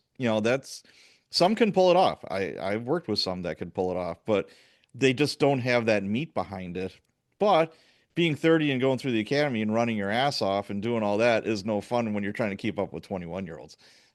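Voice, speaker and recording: A man with an American accent speaks in a plain, everyday voice at a medium pitch. His pace is fairly quick, his intonation lively, and the background quiet. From US Midwest, Chicago. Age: 60s. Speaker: podcast host, police sergeant. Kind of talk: podcast interview.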